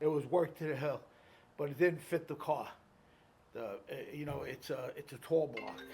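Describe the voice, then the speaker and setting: The voice is somewhat breathy, with fairly even intonation and big swings in loudness. Long, frequent pauses break up the speech. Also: man, fairly high pitch for a man, moderate pace. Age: 70s. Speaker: car seller. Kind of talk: casual chat. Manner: halting, many fillers.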